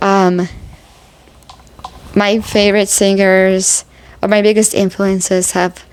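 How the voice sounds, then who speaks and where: Against noticeable background noise, a woman speaks at a very slow pace and medium pitch, her intonation monotone and flat, with long, frequent pauses. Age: 30s. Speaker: vlogger, amateur musician. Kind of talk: personal vlog, grief talk. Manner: halting, many fillers.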